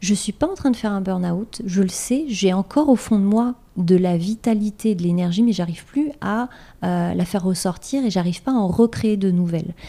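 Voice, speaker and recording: A woman's somewhat breathy, dark and mellow voice, medium in pitch, with ordinary pitch variation and a moderate pace. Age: 40s. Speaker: life coach. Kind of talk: interview.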